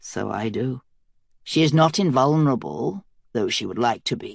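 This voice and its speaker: A man performs a put-on character voice at a medium pitch and a moderate pace. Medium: read story. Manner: silky, calculating.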